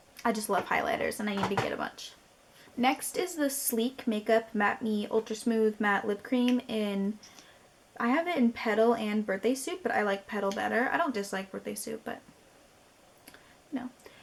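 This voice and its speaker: Speaking at a moderate pace with fairly high pitch and ordinary pitch variation, a woman leaves long, frequent pauses over noticeable background noise. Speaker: beauty youtuber. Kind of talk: casual product review vlog. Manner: animated.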